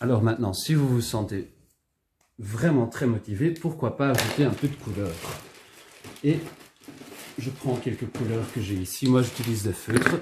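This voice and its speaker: Relaxed in tone, a man with a Dutch accent speaks at a medium pitch and a fairly slow pace, with ordinary pitch variation and long, frequent pauses. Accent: Dutch-speaker French, self-noted imperfect. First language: Dutch (speaking French). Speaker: illustrator leading drawing workshop. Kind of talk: tutorial. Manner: casual, relaxed.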